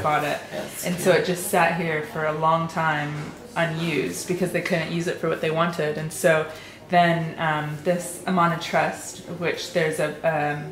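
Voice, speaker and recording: Noticeable background noise sits behind a woman speaking at a fairly slow pace. Her voice is fairly low, with monotone, flat intonation. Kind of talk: informal house history tour.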